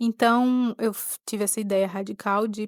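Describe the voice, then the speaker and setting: With a Pernambuco accent, a woman talks at a moderate pace in a monotone, flat way, on a very clean recording with a silent background and a dry, close sound with no echo. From Pernambuco, Brazil. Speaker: podcaster. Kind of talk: personal reflective monologue. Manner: halting.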